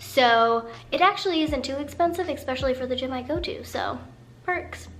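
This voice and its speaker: A woman at a high pitch and fairly quick pace, with audible room echo. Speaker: personal finance vlogger. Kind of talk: casual vlog talk to camera. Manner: animated.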